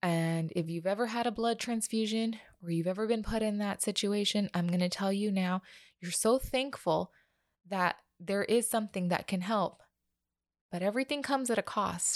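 On a very clean recording with a silent background, a woman talks at a moderate pace. Her pitch is medium with ordinary variation. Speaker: podcast host, mother of a child with IBD. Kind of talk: personal monologue. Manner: casual, filler-heavy; voice getting shaky.

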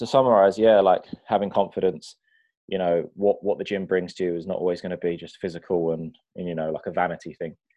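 A man with a British accent talks at a very fast pace in a fairly low voice. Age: 20s. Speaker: personal trainer. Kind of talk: casual chat.

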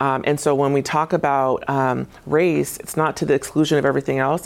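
Noticeable background noise sits behind a woman with an American accent and a very deep, low pitch. She speaks fairly quickly in a monotone with flat intonation. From Tacoma, Washington. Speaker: state government agency director. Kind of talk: studio interview. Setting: TV studio. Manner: hesitant, many fillers.

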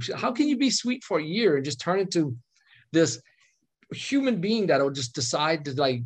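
A somewhat breathy man's voice at a moderate pace with lively intonation. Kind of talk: casual chat. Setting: video call.

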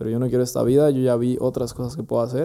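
A man talks in a Mexican accent at a medium pitch. His tone is dark and mellow. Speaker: entrepreneur. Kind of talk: casual chat.

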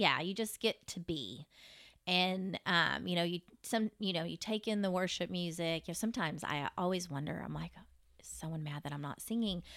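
A woman with a Texan accent and a fairly low pitch, vocal fry, ordinary pitch variation and big swings in loudness, at a moderate pace, in a dry, close sound with no echo on a very clean recording with a silent background. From Texas (Fort Worth). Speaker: obstetrician-gynecologist. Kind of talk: casual interview.

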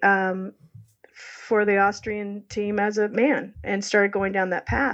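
A woman speaks at a fairly slow pace in a fairly high pitch. She has a normal speaking voice. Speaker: ski historian and author. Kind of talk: interview storytelling.

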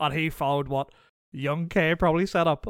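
A man with a Northern Irish accent in a very clean recording with a silent background. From Northern Ireland. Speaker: podcast guest. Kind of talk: casual chat.

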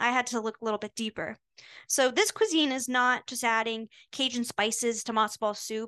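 A woman's fairly high-pitched voice with an American accent, moderate pace, quiet background, an ordinary speaking voice. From Maryland, US. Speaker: college student podcast co-host. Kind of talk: scripted casual chat.

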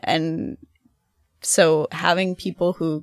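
A woman speaks with an American accent. The sound is dry and close with no echo, and the recording is very clean against a silent background. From Ohio, US Midwest (Athens). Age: 20s. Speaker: graduate student. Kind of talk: casual chat.

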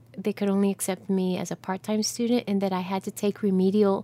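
In an American accent, a woman speaks with an ordinary speaking voice, medium pitch and fairly even intonation, the sound dry and close with no echo. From New Jersey. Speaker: actor. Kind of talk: interview.

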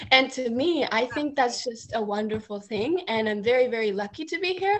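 Her voice high and her intonation lively, a woman speaks at a moderate pace. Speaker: community college student. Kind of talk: casual chat.

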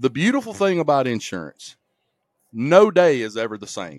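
In an Alabama accent, a man speaks in an animated tone with very wide pitch swings, the sound dry and close with no echo on a very clean recording with a silent background. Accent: Southern US (Alabama). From US South, rural Alabama. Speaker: insurance agency owner. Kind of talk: casual chat.

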